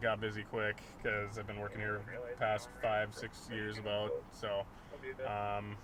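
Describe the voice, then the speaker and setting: Noticeable background noise sits behind this man's voice. He has a fairly low pitch and an Upper Midwest accent, and he talks at a moderate pace. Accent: Upper Midwest American. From Duluth, Minnesota. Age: 20s. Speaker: police officer. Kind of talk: street interview.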